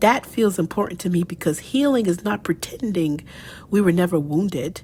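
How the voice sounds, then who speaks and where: A woman's somewhat breathy voice at medium pitch, dark and mellow in tone, with very wide pitch swings. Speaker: writer of faith reflections. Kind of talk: reflective audio essay reading. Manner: slow, soft-spoken.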